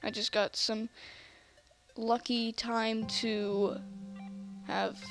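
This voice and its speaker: Music plays behind a woman speaking at a fairly high pitch. Her intonation is monotone and flat. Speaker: gamer. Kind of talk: casual gameplay commentary. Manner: hesitant, many fillers.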